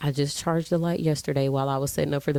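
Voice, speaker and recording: With an American accent, a woman speaks at a very deep, low pitch with fairly even intonation. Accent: told she sounds like she's from Memphis. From Texas. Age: 20s. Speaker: lifestyle vlogger. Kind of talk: casual sit-down chat to camera. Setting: home bedroom, filming on camera. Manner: laid back, relaxed.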